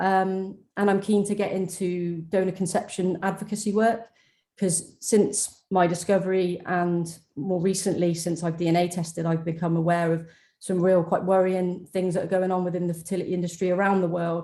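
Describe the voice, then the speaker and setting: A woman speaks with a British accent at a moderate pace, her pitch medium. Her tone is dark and mellow, her intonation monotone and flat. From UK. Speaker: donor-conception advocate. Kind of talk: webinar panel testimony.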